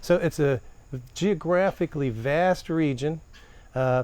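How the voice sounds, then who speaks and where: Speaking with a slight Southern US accent, a man uses ordinary pitch variation. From northern Appalachia (Steubenville, Ohio). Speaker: poet and professor. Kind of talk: interview. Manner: halting, many fillers.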